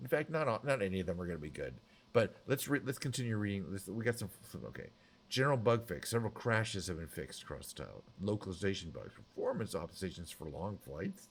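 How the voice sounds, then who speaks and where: Mumbling at a very fast pace, a man with a fairly low pitch and vocal fry makes very wide pitch swings and big swings in loudness. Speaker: game and music live streamer. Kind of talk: casual live stream chat. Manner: slightly mumbled, mushy enunciation.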